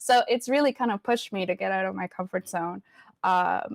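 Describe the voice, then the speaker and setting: Recorded dry and close with no echo, a woman with a Spanish accent speaks at a medium pitch and moderate pace with ordinary pitch variation. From Venezuela. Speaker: community advocate and educator. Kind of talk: interview.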